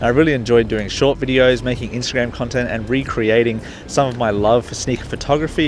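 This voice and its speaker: An Australian-accented man talks at a very fast pace with a medium pitch and ordinary pitch variation, with noticeable background noise behind him. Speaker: sneaker reviewer and youtuber. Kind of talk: casual talk to camera.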